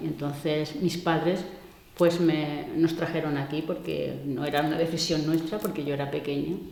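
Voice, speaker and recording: Audible room echo and noticeable background noise accompany a woman with a very deep, low pitch, speaking at a moderate pace in a monotone, flat intonation. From Andalusia (Córdoba province). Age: 60s. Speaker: migrant interviewee. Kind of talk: interview. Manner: hesitant, with many fillers.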